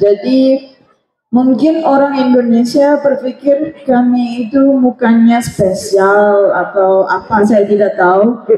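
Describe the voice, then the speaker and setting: In an Arabic accent, a woman talks at a very slow pace, her high voice showing ordinary pitch variation while her loudness stays very even. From Egypt, Cairo. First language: Arabic (speaking Indonesian). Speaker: language student. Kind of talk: casual Q&A at religious gathering.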